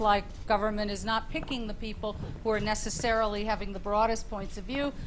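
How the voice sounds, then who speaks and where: A woman talks in a plain, everyday voice, keeping a moderate pace and fairly even intonation. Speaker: panelist, leadership professor. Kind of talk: panel discussion.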